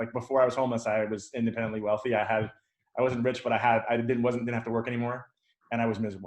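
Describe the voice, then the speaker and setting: The pace here is very fast. A man delivers it at a medium pitch. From New York City. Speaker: fighter pilot veteran. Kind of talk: Q&A talk. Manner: animated.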